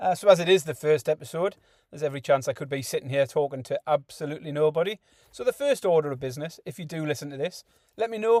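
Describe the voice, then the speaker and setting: A man with a Geordie accent talks very fast in a fairly high voice, his loudness swinging widely while his pitch varies in an ordinary way. The recording is very clean with a silent background and a dry, close sound with no echo. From northeast England, Newcastle upon Tyne. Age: 40s. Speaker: podcast host. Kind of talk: casual monologue.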